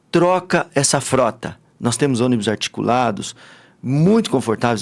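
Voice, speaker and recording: A man with a fairly high pitch and lively intonation, at a fairly slow pace. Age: 60s. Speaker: businessman and party politician. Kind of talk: interview. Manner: animated.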